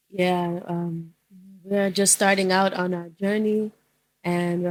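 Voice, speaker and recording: This woman has an American accent and a medium-pitched voice. She keeps a moderate pace on a very clean recording with a silent background. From US South, New Orleans, Louisiana. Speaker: podcast co-host. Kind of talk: casual chat.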